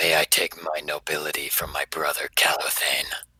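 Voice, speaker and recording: Speaking at a moderate pace, a man adopts a put-on character voice with a raspy edge. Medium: actual play.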